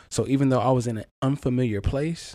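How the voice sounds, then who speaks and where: In a very clean recording with a silent background, a man speaks very fast in a dark, mellow tone. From US South, eastern North Carolina. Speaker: podcast host. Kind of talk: personal testimony monologue. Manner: casual, conversational.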